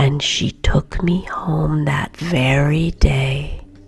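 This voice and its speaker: Soft-spoken, a woman talks at a very slow pace. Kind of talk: bedtime story reading. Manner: soft-spoken, quiet.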